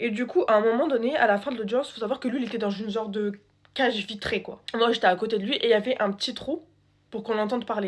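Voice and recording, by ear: Speaking at a fast pace, a woman uses a fairly high pitch with ordinary pitch variation.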